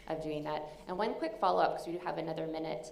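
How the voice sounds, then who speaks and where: With a Canadian accent, a woman talks in a fairly low pitch amid noticeable background noise and audible room echo. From Canada. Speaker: session moderator, researcher. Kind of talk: conference Q&A moderation.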